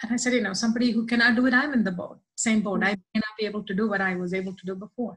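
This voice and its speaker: A woman talks at a very fast pace and fairly high pitch. Her intonation stays fairly even over a quiet background. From southern India. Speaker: church member; interview guest. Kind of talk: testimony. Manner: halting. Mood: warm, heartfelt personal testimony. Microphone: video call.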